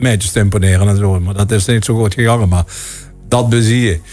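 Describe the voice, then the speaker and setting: Music plays in the background as a man speaks at a fairly quick pace. His pitch is fairly low, with ordinary pitch variation. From Netherlands, Limburg (Sittard). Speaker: singer. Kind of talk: interview. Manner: halting.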